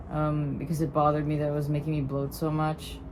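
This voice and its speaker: A woman speaks at a moderate pace in a very deep, low pitch. Her intonation is monotone and flat. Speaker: transmasculine nonbinary vlogger on testosterone. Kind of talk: casual talk to camera.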